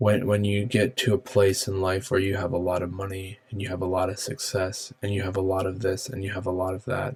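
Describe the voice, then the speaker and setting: Fairly low-pitched and somewhat breathy, a man talks at a fairly quick pace with hardly any pauses. His pitch varies in an ordinary way. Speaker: podcast host. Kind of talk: solo podcast talk. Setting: home office. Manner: halting, many fillers; subdued, sleepy-sounding.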